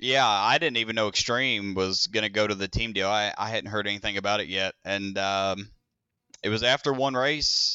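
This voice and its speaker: This man has a plain, everyday voice, pitched fairly low, moving at a moderate pace with fairly even intonation. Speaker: race car driver and team owner. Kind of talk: interview.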